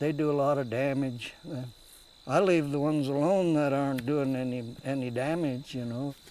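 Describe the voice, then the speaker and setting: With a rural western American accent, a man talks at a moderate pace in a dark, mellow tone with fairly even intonation, and the room echo is audible. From US Rocky Mountain West. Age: 80s+. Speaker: trapper. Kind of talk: casual chat. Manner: halting.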